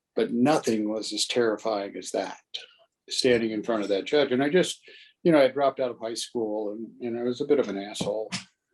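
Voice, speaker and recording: A man speaks in a plain, everyday voice. His pitch is mid-range, his tempo fairly brisk, and his intonation rises and falls typically. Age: 60s. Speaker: trial lawyer and mayor. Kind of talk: interview.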